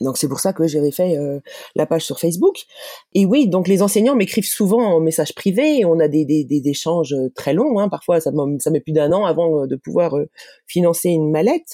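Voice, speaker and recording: The voice shows ordinary pitch variation, recorded with a dry, close sound and no echo. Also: woman, fairly low pitch for a woman. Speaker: parent and advocate for children with learning disorders. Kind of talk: interview testimony. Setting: remote call. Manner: fast with frequent hesitations.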